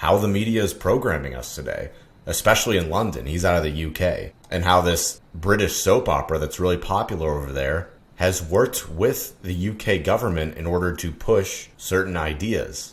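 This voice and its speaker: In a very deep, low voice, a man speaks somewhat breathily with hardly any pauses. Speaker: YouTube commentator. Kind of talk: opinion monologue. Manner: casual, conversational.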